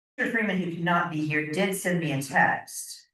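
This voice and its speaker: A woman with an ordinary speaking voice, fairly low pitch and ordinary pitch variation. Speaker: board chair. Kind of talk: board meeting.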